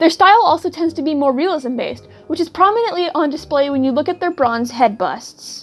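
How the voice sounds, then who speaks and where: Backed by music, a woman with an American accent talks at a very fast pace in a high pitch with lively intonation. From United States. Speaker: student. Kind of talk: school project narration. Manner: stuttering.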